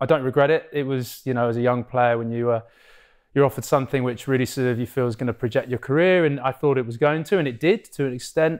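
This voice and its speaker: Over a quiet background, a man with an English accent talks at a very fast pace in a fairly high voice. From England, Cambridge; England. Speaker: professional rugby player; podcast guest. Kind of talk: podcast interview. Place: studio. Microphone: lapel.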